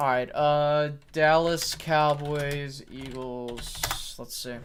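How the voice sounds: A man speaks with a clear, smooth tone at a fairly high pitch, keeping his intonation fairly even.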